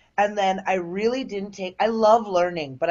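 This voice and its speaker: In an American accent, a woman speaks at a moderate pace, using a medium pitch and ordinary pitch variation. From Chicago southwest suburbs. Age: 30s. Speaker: stand-up comedian. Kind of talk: casual chat. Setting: video call. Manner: animated.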